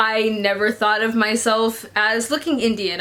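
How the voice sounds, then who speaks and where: Against noticeable background noise, the words come at a moderate pace. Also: woman. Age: 20s. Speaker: book vlogger. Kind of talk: personal vlog talk. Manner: hesitant, many fillers.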